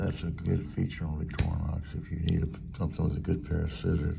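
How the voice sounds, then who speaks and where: A man with a very deep, low voice speaks at a moderate pace, with audible room echo and noticeable background noise. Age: 60s. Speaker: knife reviewer YouTuber. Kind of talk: product review. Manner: casual with frequent fillers.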